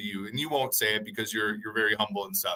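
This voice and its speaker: A man with a bright, sharp tone, a very fast pace and very wide pitch swings. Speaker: sports analyst podcast host. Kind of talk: casual chat. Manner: loud; halting, many repeated words.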